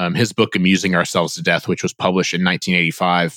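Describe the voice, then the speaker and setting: A man with a Midwestern American accent talks at a fairly quick pace, his very deep, low pitch carrying a bright, sharp tone. The sound is dry and close with no echo, and his pitch variation is ordinary. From US Midwest, northeast Indiana. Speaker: author and content editor. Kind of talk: interview conversation. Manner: halting, with many fillers and repeated words.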